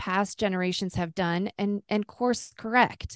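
In an unremarkable speaking voice, a woman talks fairly slowly at a medium pitch, with a dry, close sound, no echo and a quiet background. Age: 40s. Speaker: homeschooling mother. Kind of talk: casual chat.

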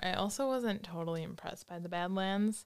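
Here is a normal speaking voice from a woman at a moderate pace. Her pitch variation is ordinary. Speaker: college student. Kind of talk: casual chat. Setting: studio.

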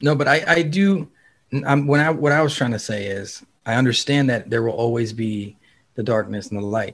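A normal speaking voice from a man, medium in pitch, with ordinary pitch variation at a moderate pace. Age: 30s. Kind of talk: casual chat.

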